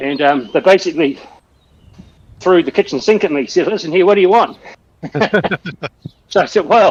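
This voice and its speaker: In a New Zealand accent, a man talks at a fairly quick pace with lively intonation. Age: 60s. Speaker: telecom copper-line technician and cyclist. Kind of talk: casual chat during online cycling ride. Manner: hesitant, many fillers and restarts.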